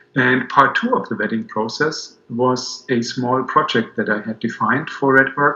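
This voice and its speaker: In a German accent, a man talks at a moderate pace with a bright, sharp tone and monotone, flat intonation. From Germany. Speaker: business owner, client. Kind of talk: video testimonial. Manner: halting, many fillers.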